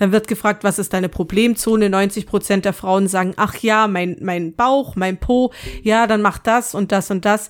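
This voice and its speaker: A woman speaks in a plain, everyday voice at a fairly slow pace, her intonation fairly even. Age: 30s. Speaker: podcast co-host. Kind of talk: casual chat.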